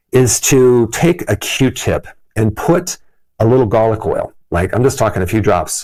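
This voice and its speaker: A man speaks in a normal speaking voice with medium pitch. His intonation is lively and his pace fairly slow. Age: 60s. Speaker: health educator. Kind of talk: tutorial. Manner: casual.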